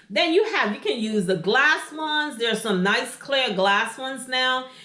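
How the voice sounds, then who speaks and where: Lively intonation rises and falls over audible room echo. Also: woman. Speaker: interior design YouTuber. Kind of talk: tutorial. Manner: casual, conversational with fillers.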